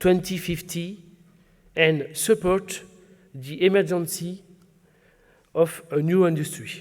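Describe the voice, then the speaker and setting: A man with a French accent speaks at a very slow pace and a high pitch, with fairly even intonation. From southwest France. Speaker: regional business chamber president. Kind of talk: formal speech. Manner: formal.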